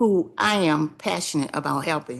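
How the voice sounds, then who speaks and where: Against a quiet background, a woman with an American accent and a normal speaking voice talks at a moderate pace with lively intonation. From Washington DC. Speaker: public witness, food program volunteer. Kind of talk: testimony.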